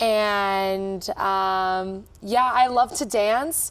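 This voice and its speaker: With an American accent, a woman at medium pitch speaks in an ordinary speaking voice with ordinary pitch variation, captured on a very clean recording against a silent background. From Texas, Austin. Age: 20s. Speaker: cruise director. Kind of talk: interview.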